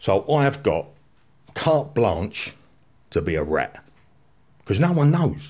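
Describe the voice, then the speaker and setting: Against a quiet background, a man talks at a medium pitch with vocal fry. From London, Islington; London. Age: 50s. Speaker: former gangster; podcast guest. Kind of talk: testimony. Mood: blunt, incredulous. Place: studio. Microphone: studio mic.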